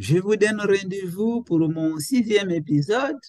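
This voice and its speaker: Speaking at a very slow pace, a man uses lively intonation and a high pitch. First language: Portuguese (speaking French). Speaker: psychology professor. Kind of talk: educational lecture. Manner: halting, with repetitions.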